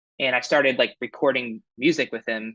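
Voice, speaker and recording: At a moderate pace, a man's voice holds a medium pitch. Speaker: musician. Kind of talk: interview. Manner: halting.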